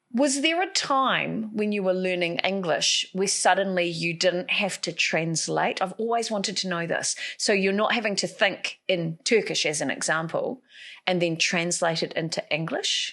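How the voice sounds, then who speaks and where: A woman with a New Zealand accent, medium pitch and ordinary pitch variation, at a moderate pace over a quiet background. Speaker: podcast host. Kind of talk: interview.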